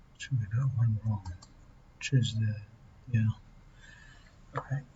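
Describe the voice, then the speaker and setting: A man speaks quietly at a fairly slow pace, somewhat breathy. His intonation is fairly even. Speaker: math learner working through exercises on video. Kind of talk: tutorial. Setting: library. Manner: quiet, low tone.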